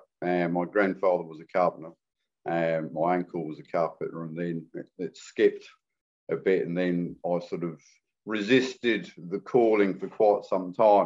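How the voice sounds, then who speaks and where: Speaking with a slight English accent, a man uses a very deep, low pitch, and his loudness swings a lot. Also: ordinary pitch variation, moderate pace. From England (London area). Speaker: carpenter, renovation builder. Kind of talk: podcast interview. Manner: casual, hesitant with fillers.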